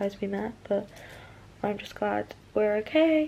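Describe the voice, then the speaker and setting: A woman speaks quietly at a fairly slow pace. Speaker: vlogger. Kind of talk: casual vlog chat. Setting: holiday apartment room.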